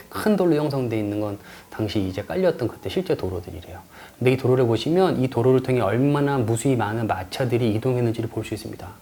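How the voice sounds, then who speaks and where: Speaking at a very fast pace, a man uses lively intonation. His pitch is medium. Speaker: lecturer and tour guide. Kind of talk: online lecture. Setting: recorded in front of a camera.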